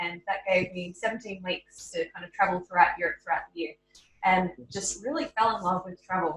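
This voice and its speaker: With ordinary pitch variation, a woman talks in a medium pitch at a moderate pace. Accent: Australian. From Australia. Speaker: travel blogger. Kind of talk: interview.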